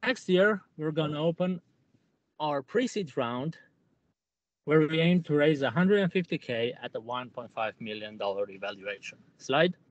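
A man speaks at a very slow pace with long, frequent pauses. His fairly high pitch swings very widely, and the sound is dry with no echo. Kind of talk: sales pitch. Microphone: poor audio; video call.

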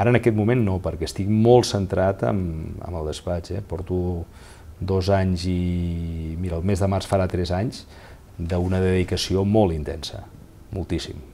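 A man's very deep, low pitch with a dark, mellow tone, fairly even intonation and a fairly slow pace. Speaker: lawyer and former mayor; lawyer, former mayor. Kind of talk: interview. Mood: calm, reflective. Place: office. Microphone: lapel.

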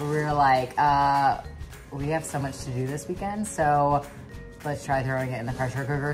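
With clear music in the background, a woman speaks at a moderate pace in a very deep, low voice. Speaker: fitness coach vlogger. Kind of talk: casual vlog chat. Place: kitchen. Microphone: phone near.

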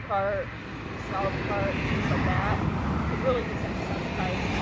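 A woman talks at a fairly quick pace. There is noticeable background noise. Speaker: horse trainer. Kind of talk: tutorial. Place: open country.

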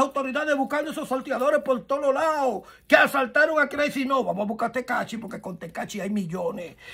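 An animated man with a Dominican accent speaks at a fairly quick pace in an extremely high voice. His tone is bright and sharp, and the background is quiet. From Dominican Republic. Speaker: gossip commentator. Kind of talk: casual commentary. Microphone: phone near.

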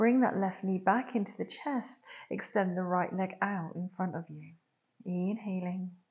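The pace is fairly slow and the voice somewhat breathy. Pitch varies in an ordinary way, while loudness swings widely. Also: woman. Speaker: yoga teacher. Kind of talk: guided yoga class. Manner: soft-spoken. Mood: calm, soothing.

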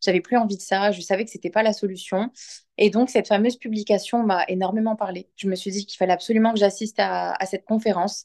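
Over a quiet background, a woman talks at a very fast pace in a monotone, flat way. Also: medium pitch for a woman. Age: 30s. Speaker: client giving a testimonial. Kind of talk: testimony. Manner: halting, many hesitations. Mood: sincere, reflective. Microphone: phone near.

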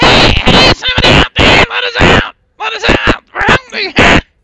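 This is a squeaky, put-on character voice at an extremely high pitch. It moves at a moderate pace. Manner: pleading, hungry.

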